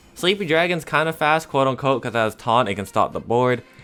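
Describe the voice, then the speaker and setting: A man talks very quickly while music plays in the background. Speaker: gaming content creator. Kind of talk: casual live gameplay commentary. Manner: fast.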